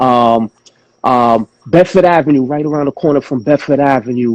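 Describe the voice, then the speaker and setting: With a New York accent, a man at medium pitch talks at a moderate pace with ordinary pitch variation, in a dry, close sound with no echo. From Flatbush, Brooklyn, New York. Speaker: hip-hop artist. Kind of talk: casual chat.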